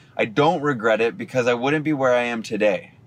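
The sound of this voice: A man with a medium-pitched voice talks at a moderate pace, his pitch shifting in an ordinary way.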